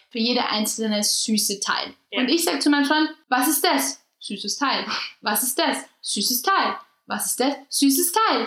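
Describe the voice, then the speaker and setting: With lively intonation and a high pitch, a woman delivers her words at a moderate rate. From Austria. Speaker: podcast co-host. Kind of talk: casual chat.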